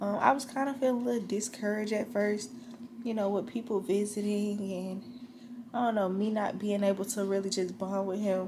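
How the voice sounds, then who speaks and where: A woman's fairly even intonation and moderate pace come through noticeable background noise. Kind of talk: casual vlog chat. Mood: tender, emotional, reflective. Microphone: phone near.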